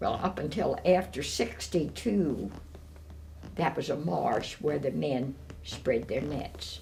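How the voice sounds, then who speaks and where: A woman with an American accent speaks at a very slow pace, her voice carrying audible room echo. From Maryland, USA. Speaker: retired seafood business owner. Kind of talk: oral history interview. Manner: hesitant with frequent fillers.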